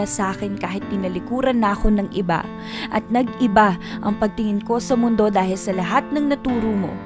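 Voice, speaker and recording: A woman's medium-pitched voice at a moderate pace, with ordinary pitch variation and music in the background. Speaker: spoken word performer. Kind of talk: spoken word poetry performance.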